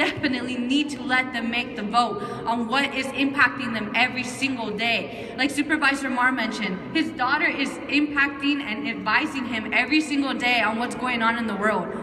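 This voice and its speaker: The voice is raised and projected, at a moderate pace with ordinary pitch variation. Audible room echo and noticeable background noise are present. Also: woman. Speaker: youth advocate. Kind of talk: rally speech. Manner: loud; animated.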